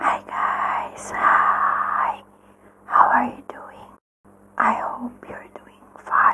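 A woman whispers at a very slow pace. Her speech is broken by long, frequent pauses. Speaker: ASMR creator. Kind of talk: casual talk to camera. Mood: calm friendly. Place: home room. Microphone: studio mic.

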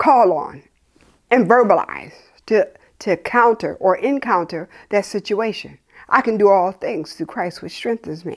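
Over a quiet background, a woman talks at a fairly slow pace. Her pitch swings very widely. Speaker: preacher. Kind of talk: sermon. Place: home room.

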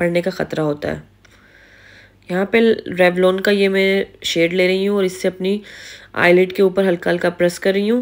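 A woman at medium pitch in a monotone, flat intonation, moderate pace, with long, frequent pauses. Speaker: beauty YouTuber. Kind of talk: makeup tutorial voice-over.

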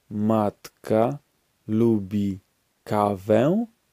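A man speaks at a very slow pace, his pitch fairly low. The tone is dark and mellow, and the sound is dry and close with no echo. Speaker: language course speaker. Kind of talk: language drill, repeated phrases. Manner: slow, clear enunciation.

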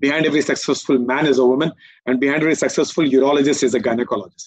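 A man speaks very fast at a fairly high pitch. The sound is dry and close, with no echo. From eastern India. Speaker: urologist. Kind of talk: conference talk.

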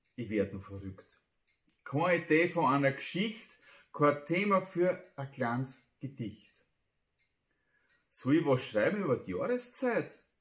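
A man's somewhat breathy voice at a fairly high pitch, very slow, with long, frequent pauses, very wide pitch swings and big swings in loudness, over a quiet background. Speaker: amateur poet. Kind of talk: humorous dialect poetry reading. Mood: humorous, playful. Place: home room.

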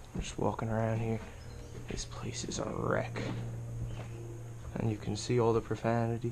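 A man at a moderate pace, amid noticeable background noise. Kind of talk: casual vlog commentary. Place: empty room. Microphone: phone near.

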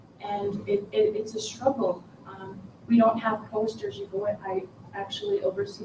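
A woman with a fairly high pitch speaks against noticeable background noise. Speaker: audience member, educator. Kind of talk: audience comment. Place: meeting room. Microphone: camera far.

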